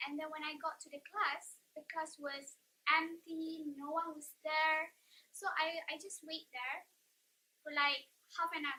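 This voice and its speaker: A woman's raised, projected voice, extremely high in pitch, bright and sharp in tone, with fairly even intonation at a fairly slow pace. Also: big swings in loudness. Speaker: vlogger. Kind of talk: casual chat.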